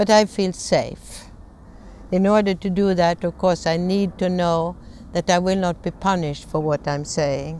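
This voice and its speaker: Fairly low in pitch, a woman with a dark, mellow tone speaks at a fairly slow pace with fairly even intonation. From Sweden. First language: Swedish. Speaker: conflict management trainer. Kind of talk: lecture.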